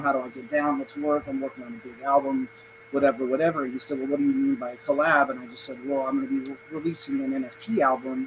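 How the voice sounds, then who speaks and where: Over noticeable background noise, the speech runs at a very fast pace with fairly even intonation. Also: man. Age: 40s. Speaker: musical artist, project guest. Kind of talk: casual livestream chat.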